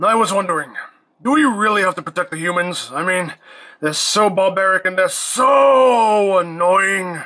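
On a very clean recording with a silent background, a man puts on a character voice pitched high for a man, speaking at a moderate pace. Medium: audio drama.

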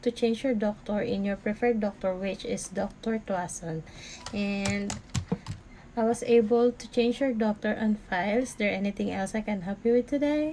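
A woman speaks at a moderate speed with fairly even intonation while light noise sits in the background. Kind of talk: role-play customer service call.

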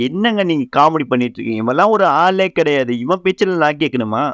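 Lively intonation in a dry, close sound with no echo and a quiet background. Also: man. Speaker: anime story narrator. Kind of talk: casual anime episode recap.

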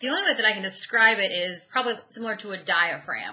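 A woman talks with ordinary pitch variation, keeping a moderate pace. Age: 30s. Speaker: YouTube product reviewer. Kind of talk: product review vlog. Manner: casual, candid. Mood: enthusiastic, frank. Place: home room. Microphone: webcam.

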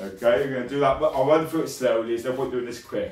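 Upbeat in tone, a man speaks with audible room echo. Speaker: martial arts instructor. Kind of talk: online fitness class, instructing exercises and counting down. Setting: video call. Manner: brisk, encouraging, commanding; clear, rhythmic, upbeat coaching cues. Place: home room. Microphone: webcam.

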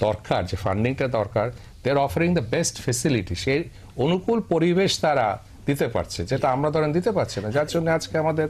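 Fairly high in pitch, a man's voice carries vocal fry and very wide pitch swings at very even loudness. The recording is very clean, with a silent background. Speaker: industrialist and alumni association president. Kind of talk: panel discussion.

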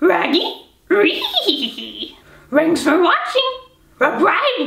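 A woman's put-on character voice, extremely high in pitch, at a very slow pace, with audible echo. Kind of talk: casual vlog chat. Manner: goofy, self-described as bad.

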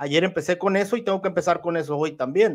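Against a quiet background, a man with a high pitch speaks in an animated tone with ordinary pitch variation. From northwest Mexico (Sinaloa/Sonora); Mexico. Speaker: boxing commentator. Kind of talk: casual livestream boxing analysis. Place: home room. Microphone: studio mic.

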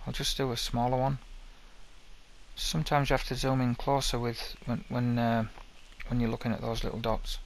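With a strong Northern English accent, a man speaks fairly quickly at a medium pitch and with fairly even intonation, taking long, frequent pauses, the sound dry with no echo over light background noise. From Northern England. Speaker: game level-building tutorial maker. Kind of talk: screen-recorded software tutorial narration. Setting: headset microphone, low quality. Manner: casual, hesitant, repeats words. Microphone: headset.

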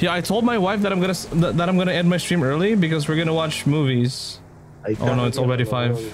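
Fairly high-pitched and very fast, a man talks with lively intonation and very even loudness against noticeable background noise. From Philippines. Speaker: gaming streamer. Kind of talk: live game stream commentary. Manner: animated. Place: home room.

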